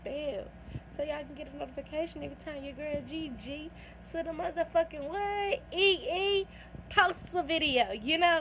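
Noticeable noise in the background behind a woman at a moderate pace. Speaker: vlogger. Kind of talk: casual vlog chat. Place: home room. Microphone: phone near.

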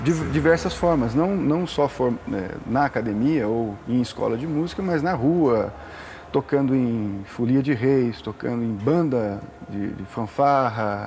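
A man speaks at a fairly slow pace with a medium pitch and ordinary pitch variation. Light background noise can be heard. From interior of São Paulo state, Brazil. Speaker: musician. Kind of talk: casual interview. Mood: relaxed, conversational.

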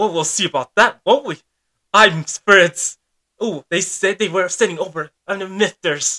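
A cartoonish character voice sits at a middle pitch. It moves at a moderate pace.

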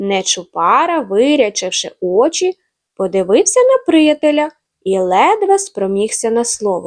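A quiet background behind an unforced reading voice

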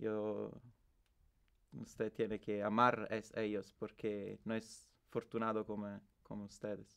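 A man's fairly low voice, monotone and flat, at a very slow pace against a quiet background. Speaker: interviewee in experimental documentary. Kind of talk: personal story, testimony. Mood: reflective, emotional about late father.

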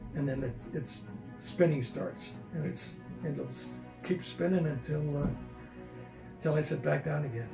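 With clear music in the background, a man speaks at a moderate pace in a fairly high pitch, with ordinary pitch variation and long, frequent pauses. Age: 80s+. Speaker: patient describing vertigo recovery. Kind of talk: interview answer. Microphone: phone near.

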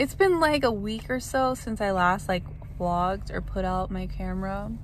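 A woman in a dry recording with no echo and light background noise. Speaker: vlogger. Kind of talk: casual vlog chat. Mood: upbeat, pleased. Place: car. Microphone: phone near.

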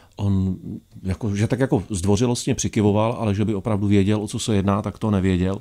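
A man's dark, mellow, fairly low-pitched voice at a fairly quick pace, fairly even in intonation, against a quiet background. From Czech Republic. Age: 40s. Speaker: documentary filmmaker and traveller; guest. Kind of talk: radio interview. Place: studio. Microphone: studio mic.

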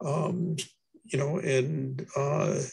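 Against a quiet background, a man speaks in a somewhat breathy voice. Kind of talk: meeting discussion. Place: home room. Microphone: video call.

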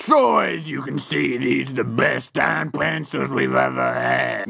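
A man talks in a cartoonish character voice that is raspy. His pace is fairly slow. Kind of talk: comic overacting. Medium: puppet show. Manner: boastful, gruff trash talk.

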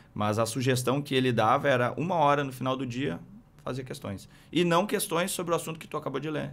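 Vocal fry runs through this man's speech. He talks at a fairly quick pace with ordinary pitch variation. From Rio Grande do Sul interior, Brazil. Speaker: military police captain; podcast guest. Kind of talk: interview. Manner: halting, many fillers. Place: studio. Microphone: studio mic.

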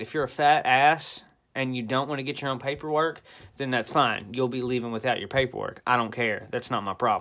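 A man speaks at a fairly quick pace in a bright, sharp tone. His pitch varies in an ordinary way against a quiet background. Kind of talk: casual vlog rant. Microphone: phone near.

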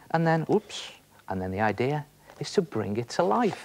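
A man talks with very wide pitch swings over light background noise. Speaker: presenter. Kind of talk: tutorial. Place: studio.

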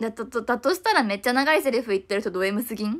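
A woman's high-pitched voice, very fast and with lively intonation. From Japan. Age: 20s. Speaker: idol; idol live streamer. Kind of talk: livestream chat. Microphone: phone near.

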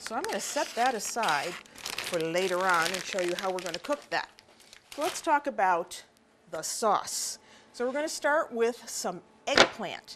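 Loud background noise surrounds a woman speaking at a moderate pace. Her medium-pitched voice moves in very wide pitch swings. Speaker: TV cooking show host. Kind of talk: cooking show presentation. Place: kitchen. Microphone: lapel.

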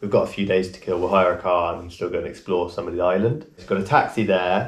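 A man speaks very fast in a very deep, low, somewhat breathy voice with ordinary pitch variation. His loudness swings widely, and room echo is audible. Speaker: travel vlogger. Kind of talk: casual vlog chat. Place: home room. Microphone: camera far.

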